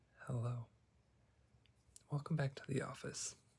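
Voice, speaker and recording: Soft-spoken and somewhat breathy, this voice keeps a calm tone and fairly even intonation at a moderate pace. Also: man. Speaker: psychologist (roleplay). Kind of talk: ASMR therapy roleplay, guided breathing. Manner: soft-spoken, calm, reassuring.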